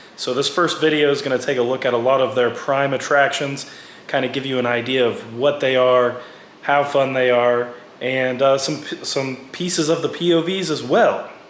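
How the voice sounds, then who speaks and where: Over noticeable background noise and audible room echo, a man speaks at a moderate pace and a fairly high pitch with ordinary pitch variation. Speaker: theme park vlogger. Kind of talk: voiceover narration. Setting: recorded at home.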